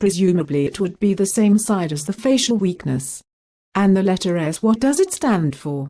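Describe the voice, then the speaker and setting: A woman with a British accent speaks at a moderate pace and medium pitch, in a dark, mellow tone with lively intonation. The recording is very clean, with a silent background. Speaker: interviewer. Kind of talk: scripted educational interview questions.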